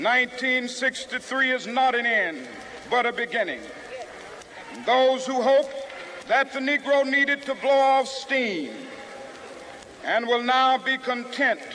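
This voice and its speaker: With noticeable background noise, a man projects a raised voice at an extremely high pitch, monotone and flat, moving at a fairly slow pace with long, frequent pauses. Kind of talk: public speech to a crowd. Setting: outdoors, large crowd. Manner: impassioned, oratorical.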